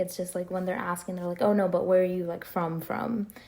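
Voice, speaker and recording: In an American accent, a woman speaks with a dark, mellow tone. Her intonation stays fairly even. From New Jersey. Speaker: podcast host. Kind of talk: casual chat.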